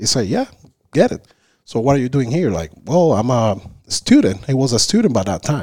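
With a Spanish accent, a man speaks at a medium pitch in a dark, mellow tone with very wide pitch swings. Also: moderate pace. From Cuba, Havana. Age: 30s. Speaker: Cuban immigrant guest. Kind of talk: casual interview. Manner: halting.

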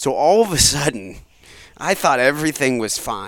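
A man talks at a moderate pace with lively intonation. He has an ordinary speaking voice. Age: 30s. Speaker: podcast host and father. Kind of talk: casual chat.

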